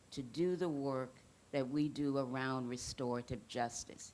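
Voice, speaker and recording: At a fairly slow pace, a woman with an American accent speaks in a very deep, low pitch. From US South, Mississippi. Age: 60s. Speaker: restorative justice worker, panelist. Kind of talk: panel talk to audience.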